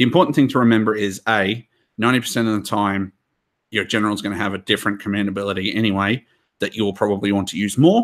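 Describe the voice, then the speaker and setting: Very fast speech comes from a man with a fairly low pitch and fairly even intonation. The recording is very clean, with a silent background. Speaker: tabletop wargaming channel host. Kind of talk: hobby game review discussion.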